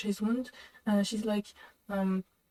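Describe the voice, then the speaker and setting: A woman speaks with a non-native accent in a dark, mellow tone. The sound is dry and close, without echo. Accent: foreign. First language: not English. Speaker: reaction video host. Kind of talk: reaction commentary. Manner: halting, many fillers.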